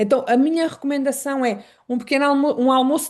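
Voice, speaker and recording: A woman with a European Portuguese accent speaks at a high pitch. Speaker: Traditional Chinese Medicine specialist. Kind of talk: online lecture.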